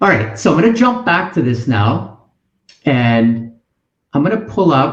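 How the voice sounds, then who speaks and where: Very wide pitch swings and very even loudness in a somewhat breathy voice, fairly slow with long, frequent pauses, plus audible room echo. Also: man, medium pitch for a man. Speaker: college admissions advisor; webinar host. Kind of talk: webinar presentation. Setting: online webinar with chat. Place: home room. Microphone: webcam.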